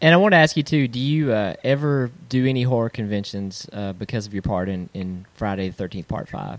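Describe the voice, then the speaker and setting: A man with a plain, everyday voice speaks fairly quickly at a medium pitch, with lively intonation and hardly any pauses. The recording is very clean, with a silent background. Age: 40s. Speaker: podcast host. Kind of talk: interview.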